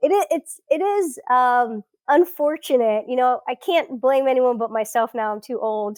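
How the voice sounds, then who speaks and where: Speaking with hardly any pauses, a woman with an American accent uses lively intonation at a high pitch. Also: moderate pace, dry, close sound with no echo. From South Florida. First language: Portuguese. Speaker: researcher. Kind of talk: interview conversation.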